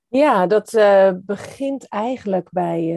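The voice has a dark, mellow tone, heard through a dry, close sound with no echo. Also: woman. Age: 50s. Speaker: author and founder of a stepfamily foundation. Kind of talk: interview conversation.

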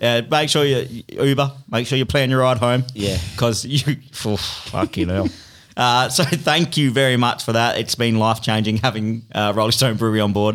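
Speaking with an Australian accent, a man holds a medium pitch and very even loudness, and his pitch varies in an ordinary way. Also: moderate pace. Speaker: podcast host. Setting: studio.

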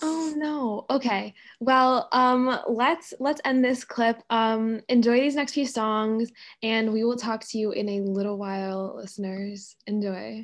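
A woman's fairly high voice, an unremarkable speaking voice, over a quiet background. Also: ordinary pitch variation, fairly slow pace. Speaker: college radio DJ. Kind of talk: casual chat.

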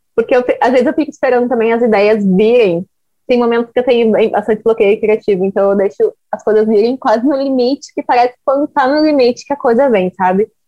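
A woman talks at a fairly quick pace with ordinary pitch variation. Her loudness stays very even. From Porto Alegre, Brazil. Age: 20s. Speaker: social media influencer. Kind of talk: casual interview.

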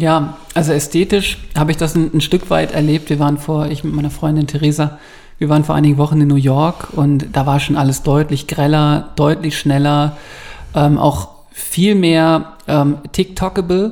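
This man has a fairly high pitch and a normal speaking voice. He talks at a moderate pace. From Bavaria, Ingolstadt. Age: 30s. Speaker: press office editor and photographer. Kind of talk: casual chat.

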